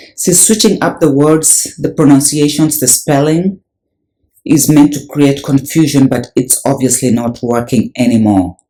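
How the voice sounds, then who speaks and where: Fairly slow speech from a man with a Kenyan accent, fairly high in pitch, dark and mellow in tone, with ordinary pitch variation. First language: Luhya. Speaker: religious video presenter. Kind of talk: video commentary.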